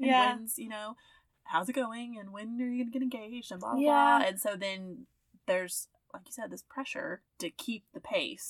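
With a Southern US accent, a woman talks fairly quickly at a fairly high pitch and ordinary pitch variation. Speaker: podcast co-host.

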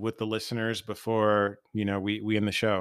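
Here a man has a plain, everyday voice. His pitch is medium and his pace moderate. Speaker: podcast host. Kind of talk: casual interview, podcast intro. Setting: remote recording with guests.

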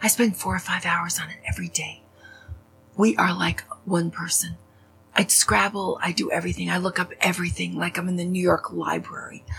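Music plays behind the voice. A woman talks at a fairly quick pace. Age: 60s. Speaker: podcast host. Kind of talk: personal monologue. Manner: animated.

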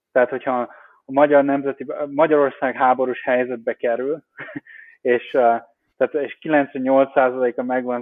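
A man with a medium pitch talks at a moderate pace in a monotone, flat delivery. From Hungary, Baranya county near Pécs. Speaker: crypto investment director. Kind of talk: interview. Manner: halting, many fillers.

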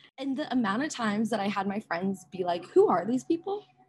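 Speaking in an American accent, a woman has a fairly high pitch and a somewhat breathy voice. Her pitch swings very widely. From US Midwest, Minnesota (Rochester). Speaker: finance worker and traveler. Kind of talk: casual chat. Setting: video call from a cafe.

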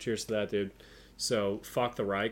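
Male speech, very cleanly recorded against a silent background. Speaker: podcast co-host. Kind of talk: casual chat. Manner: animated.

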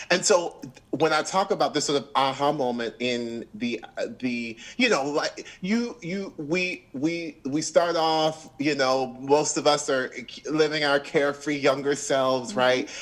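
Talking at a fairly slow pace in a plain, everyday voice, a man with an American accent speaks at a fairly high pitch with ordinary pitch variation. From Orlando, Florida. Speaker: Broadway actor and singer. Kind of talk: interview.

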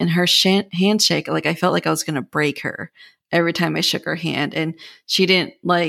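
A woman speaks at a moderate pace with a fairly low pitch, vocal fry and ordinary pitch variation. The recording is very clean, with a silent background. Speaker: podcast host. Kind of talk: casual interview chat.

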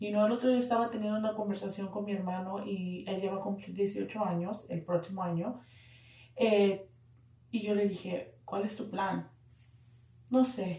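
A woman's medium-pitched voice has a dark, mellow tone and is somewhat breathy, with fairly even intonation. She moves at a fairly slow pace with long, frequent pauses. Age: 30s. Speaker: podcast co-host. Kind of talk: casual chat.

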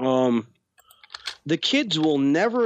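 A man talks in a fairly high pitch with lively intonation. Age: 30s. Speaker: podcast co-host. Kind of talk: casual chat. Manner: animated.

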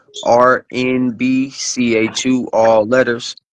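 The man speaks at medium pitch in a monotone, flat way. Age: 20s. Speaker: musician.

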